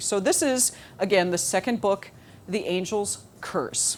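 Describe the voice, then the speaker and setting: Here a woman speaks at a medium pitch. She has a Minnesotan accent. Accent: Minnesota. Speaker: novelist. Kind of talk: speech to audience. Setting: stage with audience. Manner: halting.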